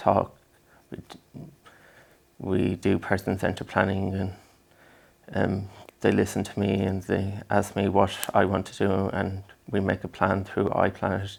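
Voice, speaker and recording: A man with an Irish accent speaks at a fairly slow pace in a very deep, low voice, his intonation monotone and flat, his loudness swinging widely, with long, frequent pauses. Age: 20s. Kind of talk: interview. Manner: halting, many fillers.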